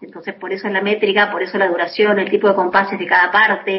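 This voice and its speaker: Talking at a fairly quick pace, a woman has an ordinary speaking voice, medium in pitch. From Buenos Aires, Argentina. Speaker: singer-songwriter. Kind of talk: interview. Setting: phone call.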